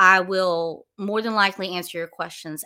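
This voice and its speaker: In a very clean recording with a silent background, a woman with a Southern US accent speaks at a moderate pace in a bright, sharp tone and fairly low pitch. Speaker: wine collection manager and podcaster. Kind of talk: casual solo talk to a livestream audience. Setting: live stream with camera, at home. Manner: rambling, casual, many filler words.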